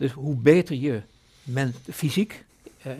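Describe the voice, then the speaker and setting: This man's voice sits at a medium pitch, somewhat breathy, with ordinary pitch variation. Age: 70s. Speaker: foundation chairman. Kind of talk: podcast interview.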